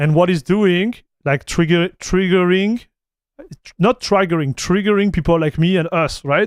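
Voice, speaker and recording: In a dry, close sound with no echo, a man speaks at a high pitch in an animated tone. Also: ordinary pitch variation, moderate pace, big swings in loudness. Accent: French. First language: French. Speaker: tech streamer. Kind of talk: livestream commentary. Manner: halting, many restarts; casual, animated.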